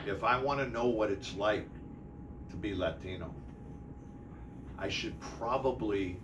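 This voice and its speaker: A man with an American accent talks at a moderate pace, his pitch fairly low with ordinary variation. Noticeable background noise and audible room echo fill the recording. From Detroit, Michigan. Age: 60s. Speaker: city mayor. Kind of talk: interview.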